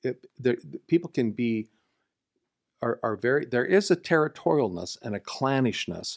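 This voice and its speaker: A man at a medium pitch speaks at a moderate pace with very wide pitch swings. The sound is dry and close with no echo, a very clean recording over a silent background. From Nebraska, US Midwest. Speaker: senior pastor. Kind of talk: casual chat. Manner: halting.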